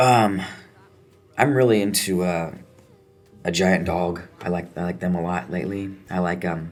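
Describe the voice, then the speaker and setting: Music plays in the background, and the room echo is audible. The intonation stays fairly even. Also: man. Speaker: punk musician. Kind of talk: interview.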